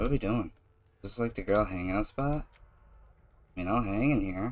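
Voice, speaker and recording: In an ordinary speaking voice, a man talks at a fairly quick pace with fairly low pitch and ordinary pitch variation. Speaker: gaming YouTuber. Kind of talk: gameplay commentary. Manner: casual.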